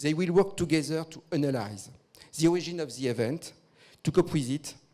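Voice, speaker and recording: A man speaks at a fairly quick pace with a fairly high pitch and ordinary pitch variation. His tone is dark and mellow, and his loudness swings a lot. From France. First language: French. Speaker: victim support organisation leader. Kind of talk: conference presentation. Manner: formal.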